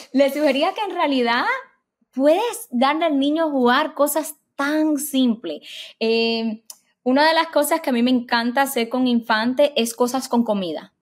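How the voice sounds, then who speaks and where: A woman's high-pitched voice at a fairly slow pace, with ordinary pitch variation, over a quiet background. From Cuban-American immigrant family. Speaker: developmental psychologist; guest. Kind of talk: interview. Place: home room. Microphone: webcam.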